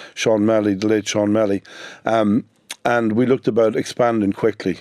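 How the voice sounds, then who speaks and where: With a northwestern Irish accent, a man speaks in a dark, mellow tone, the sound dry and close with no echo. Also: quiet background. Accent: Irish (north-west). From Ireland, Sligo. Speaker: business owner. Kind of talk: radio interview.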